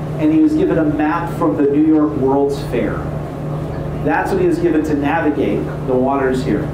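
A man speaks at a moderate pace. Noticeable background noise and audible room echo surround his voice. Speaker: tour guide. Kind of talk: guided history tour narration. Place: boat.

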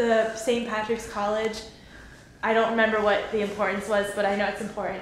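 With light background noise and audible room echo, a woman speaks at a fairly quick pace in a monotone, flat intonation. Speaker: friend acting as tour guide. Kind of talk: casual informal explanation. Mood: light, joking. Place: hall. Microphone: phone near.

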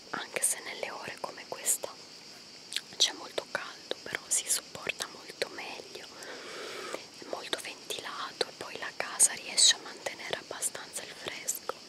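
A woman whispers at a fairly slow pace, leaving long, frequent pauses. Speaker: vlogger. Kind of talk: casual vlog chat. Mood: relaxed. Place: forest. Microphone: phone near.

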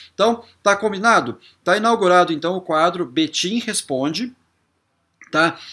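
A man's high, bright, sharp voice with lively intonation against a quiet background. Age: 40s. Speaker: YouTuber. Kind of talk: vlog to camera. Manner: casual, repetitive filler words. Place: home room.

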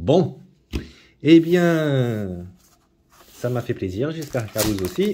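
Light background noise sits under a man who speaks very slowly, with long, frequent pauses and very wide pitch swings. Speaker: YouTuber opening trading card packs. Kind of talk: casual unboxing video monologue. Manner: hesitant, many fillers and repetitions; low-energy, trying to sound livelier. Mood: enthusiastic, mildly wry. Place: home room. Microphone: phone near.

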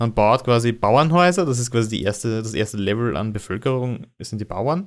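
Talking at a fairly quick pace, a man with a Viennese accent shows ordinary pitch variation. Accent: Viennese Austrian German. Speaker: podcast host. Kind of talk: casual chat. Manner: halting.

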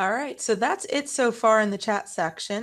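A woman speaks at a moderate pace against a quiet background. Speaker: education consultant, chat moderator; chat moderator. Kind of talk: webinar moderation. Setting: video call. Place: home room. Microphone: headset.

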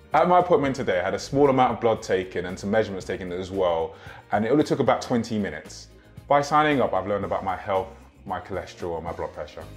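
A man talking at a very fast pace over faint background music. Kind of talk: promotional testimonial interview. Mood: warm, encouraging.

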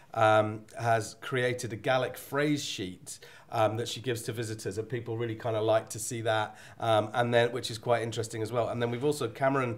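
With fairly even intonation, the talking proceeds at a moderate pace. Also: man. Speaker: webinar host reading viewer chat. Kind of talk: hosted webinar panel discussion. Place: hall. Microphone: podium.

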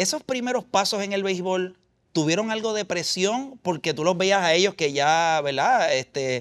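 A man speaks at a fairly slow pace in a high pitch for a man, with a quiet background behind him. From Puerto Rico. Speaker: sports interviewer. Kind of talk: interview. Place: gym. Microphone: lapel.

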